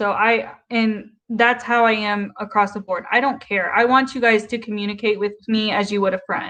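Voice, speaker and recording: Speaking with a slight Southern US accent, a woman has a fairly high-pitched, bright, sharp tone, flat monotone intonation, a moderate pace and hardly any pauses. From US South. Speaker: YouTube livestreamer, commentary. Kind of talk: casual livestream commentary reading chat. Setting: live stream.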